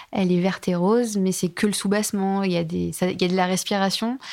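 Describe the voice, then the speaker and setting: A woman at a medium pitch talks at a moderate pace, captured on a very clean recording against a silent background. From Bordeaux, France. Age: 30s. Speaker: fashion and home designer, brand founder. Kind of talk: interview, casual chat. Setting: recorded at her home.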